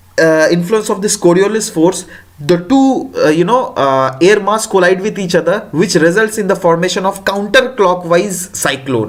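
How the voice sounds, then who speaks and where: Amid noticeable background noise and audible room echo, a high-pitched man speaks at a moderate pace with lively intonation. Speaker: exam prep teacher. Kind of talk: lecture. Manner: halting, many fillers.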